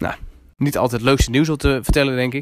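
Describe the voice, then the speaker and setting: His intonation is monotone and flat. The man's delivery runs at a fairly quick pace. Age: 20s. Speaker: podcast host, entrepreneur. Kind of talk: casual monologue. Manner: hesitant, many filler sounds.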